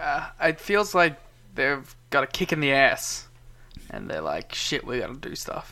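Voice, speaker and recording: A man with an Australian accent talks at a fairly slow pace with big swings in loudness. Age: young. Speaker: wrestling podcast co-host. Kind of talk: casual chat. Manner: soft-spoken.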